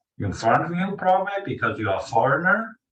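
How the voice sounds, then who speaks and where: The man's voice sits high in pitch and moves through very wide pitch swings. Audible room echo surrounds it. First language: Mandarin Chinese. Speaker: language teacher. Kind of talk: lecture. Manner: halting.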